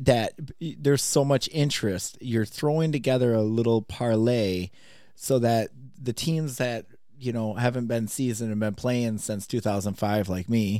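Delivered at a moderate pace with ordinary pitch variation, an ordinary speaking voice comes through in a very clean recording with a silent background. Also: man. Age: 30s. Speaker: podcast host. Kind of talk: casual chat.

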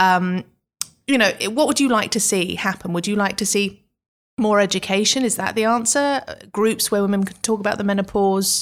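Over a silent background on a very clean recording, a woman with a plain, everyday voice talks at a moderate pace and medium pitch, with ordinary pitch variation. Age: 50s. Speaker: podcast host and magazine editor. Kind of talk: interview. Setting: studio.

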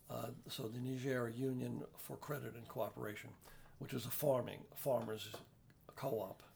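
Using vocal fry, a man with a New York accent speaks at a medium pitch and a moderate pace. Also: fairly even intonation. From New York City (the Bronx). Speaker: retired activist and Irish musician. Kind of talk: interview. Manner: halting.

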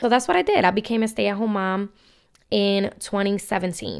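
In a very clean recording with a silent background, a woman uses a normal speaking voice at a medium pitch, with fairly even intonation. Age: 20s. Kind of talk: personal storytelling monologue. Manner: casual with many filler ums.

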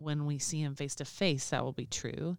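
A woman's ordinary pitch variation comes through on a very clean recording with a silent background. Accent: Southern US. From Alabama, US. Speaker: podcast co-host. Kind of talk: casual chat.

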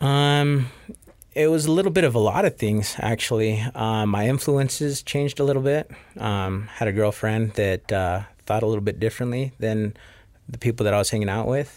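In a very clean recording with a silent background, a man speaks at a moderate pace and medium pitch in an unremarkable speaking voice with ordinary pitch variation. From Rexburg, Idaho (Mexican immigrant parents). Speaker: barber, business owner. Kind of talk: interview.

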